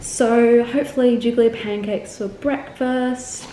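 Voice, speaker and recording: Noticeable background noise and audible room echo fill the recording. A woman talks over it in an Australian accent. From Australia, Melbourne (also lived in Korea, England, Singapore). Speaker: travel vlogger. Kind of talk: casual vlog chat. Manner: chatty, with many fillers.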